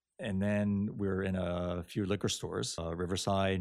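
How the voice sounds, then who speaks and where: Very deep and low in pitch, a man talks at a moderate pace with fairly even intonation in a very clean recording with a silent background. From Japan. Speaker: spirits producer. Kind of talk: interview.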